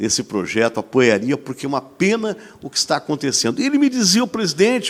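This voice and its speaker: At a very fast pace, a man with a fairly high pitch speaks in very wide pitch swings. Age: 60s. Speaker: TV host. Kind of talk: talk show discussion. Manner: animated.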